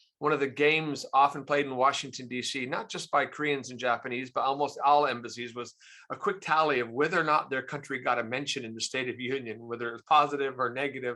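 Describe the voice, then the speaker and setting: Bright and sharp in tone, a voice with an American accent races at a very fast pace with hardly any pauses and fairly even intonation. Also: man, medium pitch for a man. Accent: American (Arizona), little Australian. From US, Arizona. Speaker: think tank chief executive, foreign policy expert. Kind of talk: lecture.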